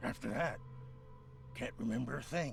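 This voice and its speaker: Over clear background noise, a man uses a raspy, put-on character voice at a moderate pace. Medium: video game. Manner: defensive, resentful.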